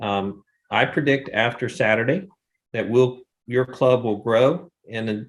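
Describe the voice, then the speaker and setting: An ordinary speaking voice from a man at medium pitch, with ordinary pitch variation, on a very clean recording with a silent background. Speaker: filmmaker, runs faith-based film workshops. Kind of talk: interview answer.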